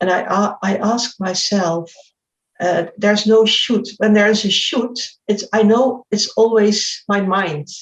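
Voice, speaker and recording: The voice is somewhat breathy, with fairly even intonation. It moves at a fairly slow pace. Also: woman, medium pitch for a woman. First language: not English. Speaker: spiritual speaker. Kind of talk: interview. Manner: halting; reflective.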